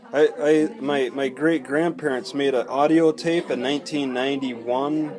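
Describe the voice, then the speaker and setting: Noticeable background noise sits behind a man with a fairly high pitch. His pitch varies in an ordinary way. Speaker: travel vlogger interviewer. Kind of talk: casual conversation.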